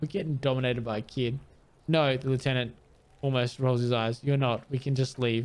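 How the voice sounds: With fairly even intonation, a natural reading voice carries the clip.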